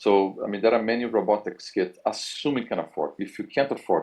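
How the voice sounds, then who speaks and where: This man speaks with a Brazilian accent. His pace is fairly quick. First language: Portuguese. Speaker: university professor. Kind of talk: career advice talk.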